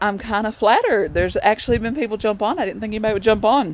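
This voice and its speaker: A woman with a Southern US accent and ordinary pitch variation, over noticeable background noise. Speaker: vlogger. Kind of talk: casual live stream chat. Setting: outdoors in the cold.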